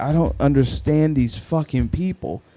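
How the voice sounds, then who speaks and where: A man talks while music plays in the background. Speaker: podcaster. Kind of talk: casual podcast talk. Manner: frustrated ranting, profane.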